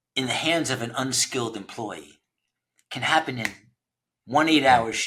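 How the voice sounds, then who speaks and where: The man's voice has a bright, sharp tone. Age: 60s. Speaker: founder of a trades recruiting platform. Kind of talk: podcast interview. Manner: conversational, with frequent repetitions and fillers.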